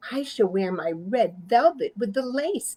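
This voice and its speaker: A female-sounding voice puts on a character voice, pitched fairly high. The pace is moderate. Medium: read story. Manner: bossy, haughty.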